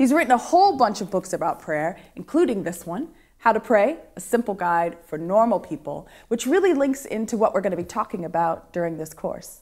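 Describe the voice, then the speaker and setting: With an American accent, a woman talks at a fairly quick pace. Her pitch swings very widely against a quiet background. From Ohio, US. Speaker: course host. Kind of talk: interview. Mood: warm, enthusiastic. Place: studio.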